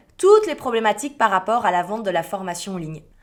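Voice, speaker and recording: Pitched fairly high, a woman's voice swings very widely up and down. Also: very clean recording, silent background. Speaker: business podcast host. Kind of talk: solo podcast monologue.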